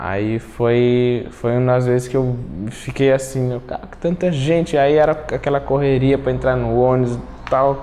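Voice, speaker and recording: Noticeable background noise accompanies a man talking at a fairly slow pace, with medium pitch and fairly even intonation. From Cape Verde. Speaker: immigrant, advertising designer. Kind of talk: documentary interview.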